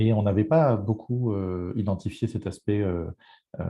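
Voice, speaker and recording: Here a man's voice sounds somewhat breathy. His pitch varies in an ordinary way. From France. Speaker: health network representative, panelist. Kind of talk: panel presentation. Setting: online event. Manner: hesitant, many fillers.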